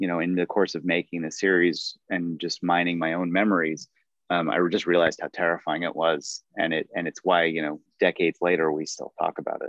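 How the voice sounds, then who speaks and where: Speaking at a fairly quick pace, a man uses a very deep, low pitch and a monotone, flat intonation. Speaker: documentary filmmaker. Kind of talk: interview.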